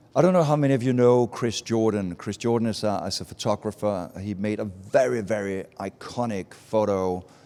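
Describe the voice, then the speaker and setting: In a very clean recording with a silent background, a man with a Danish accent speaks at a moderate pace, his fairly low voice dark and mellow with ordinary pitch variation. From Denmark, small Baltic island. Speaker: advertising speaker. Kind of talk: talk to a live audience. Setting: stage with audience at a festival meetup.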